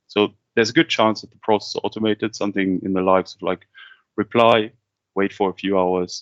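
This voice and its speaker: A man with a German accent has a very deep, low pitch. He speaks at a fairly quick pace with fairly even intonation. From Kazakhstan-born, German-speaking upbringing. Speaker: business development head, webinar host. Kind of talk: webinar presentation. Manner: conversational, some repeated words.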